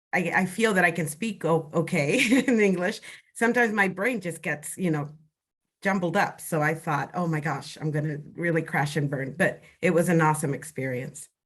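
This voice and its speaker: A woman talks in a fairly low, somewhat breathy voice. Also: ordinary pitch variation, moderate pace. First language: not English. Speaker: program participant with Parkinson's. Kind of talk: interview. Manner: halting.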